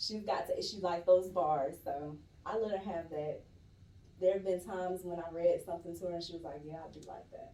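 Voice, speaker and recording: Speaking at a fairly quick pace with an American accent, a woman with a fairly low pitch and ordinary pitch variation swings widely in loudness amid audible room echo. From Atlanta, Georgia (Stone Mountain). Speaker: poet. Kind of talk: casual chat. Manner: animated.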